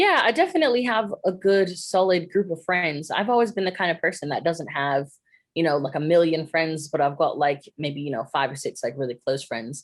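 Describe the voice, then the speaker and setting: Against a quiet background, a woman with an American accent talks at a fairly low pitch with lively intonation. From upstate New York, US. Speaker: singer-songwriter and DJ. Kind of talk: interview. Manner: casual, many fillers.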